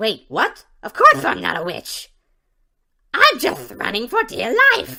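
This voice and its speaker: A cartoonish character voice that sounds female, speaking at a fairly slow pace with long, frequent pauses. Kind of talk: comic cartoon impression. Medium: read story. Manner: nervous, panicky.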